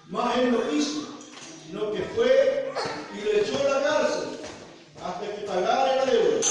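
Against noticeable background noise, a man speaks fairly slowly, with long, frequent pauses. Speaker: preacher reading scripture. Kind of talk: sermon, scripture reading. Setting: church.

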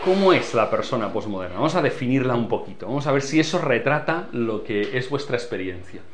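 Lively intonation comes at a moderate pace over noticeable background noise and audible room echo. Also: man. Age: 50s. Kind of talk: lecture.

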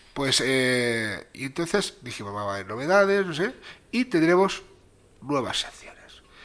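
A man speaks at a fairly slow pace, his fairly high pitch making very wide swings. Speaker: podcast co-host. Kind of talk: casual chat.

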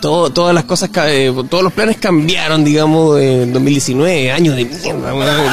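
Over music in the background, a man with a Chilean accent speaks at a fairly slow pace and fairly high pitch, with ordinary pitch variation, very even loudness and hardly any pauses. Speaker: radio host. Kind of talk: casual chat.

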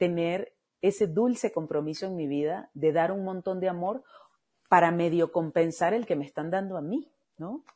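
A woman's dark, mellow tone. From Venezuela. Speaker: voice actress. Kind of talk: casual interview.

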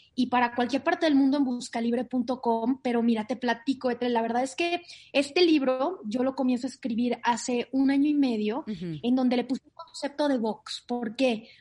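A woman's high-pitched voice at a moderate pace with hardly any pauses, over noticeable background noise. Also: ordinary pitch variation. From Monterrey, northern Mexico. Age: 30s. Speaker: author and life coach. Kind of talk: interview.

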